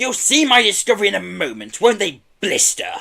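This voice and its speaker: A man's loud, high-pitched put-on character voice at a moderate pace. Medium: read story. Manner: loud, blustering.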